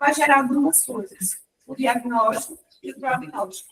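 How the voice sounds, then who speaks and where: Fairly slow, lively-intoned speech from a woman with a high voice. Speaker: sanitation project presenter. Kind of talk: public presentation.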